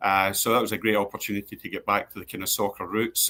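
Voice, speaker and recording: A man with a Glasgow accent talks at a very fast pace. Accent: Scottish, Glasgow. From Scotland, East End of Glasgow. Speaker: sports club executive. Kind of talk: interview. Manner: hesitant, many fillers and repeats.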